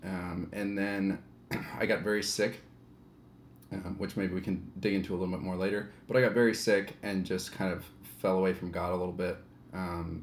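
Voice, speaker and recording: Monotone, flat intonation and long, frequent pauses mark this moderate-paced speech, which carries audible room echo. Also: man. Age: 30s. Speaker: podcast guest. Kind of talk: casual chat.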